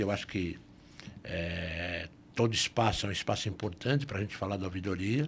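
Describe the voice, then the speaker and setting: At a moderate pace, the speaker's somewhat breathy voice carries lively intonation over a very clean recording with a silent background. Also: man. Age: 60s. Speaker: lawyer and police ombudsman. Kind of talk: podcast interview.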